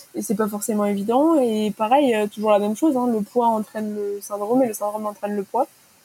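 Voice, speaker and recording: Fairly high-pitched woman's voice with fairly even intonation over noticeable background noise. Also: fairly quick pace. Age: 20s. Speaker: property manager sharing eating disorder story. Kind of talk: personal testimony.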